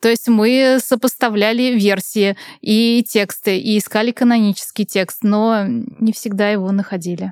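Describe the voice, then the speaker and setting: Using a normal speaking voice, a woman talks at a fairly high pitch with fairly even intonation. Her loudness is very even, and the sound is dry and close, with no echo. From Russia, Nizhny Novgorod. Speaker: author and communication trainer. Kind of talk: casual chat.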